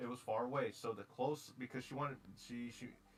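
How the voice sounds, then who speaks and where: An American accent with ordinary pitch variation, over music in the background. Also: man. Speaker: streamer. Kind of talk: casual chat.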